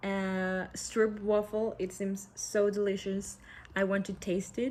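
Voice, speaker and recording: A woman speaks at a fairly slow pace with a Spanish accent, her pitch medium. The recording is very clean, with a silent background. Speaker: student presenter. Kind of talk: class presentation. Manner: halting.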